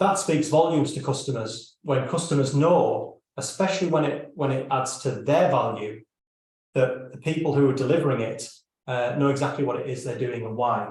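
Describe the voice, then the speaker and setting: A man's somewhat breathy, fairly high-pitched voice with ordinary pitch variation, in audible room echo. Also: moderate pace. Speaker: business consultant. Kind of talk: live stream presentation. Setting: live stream video call.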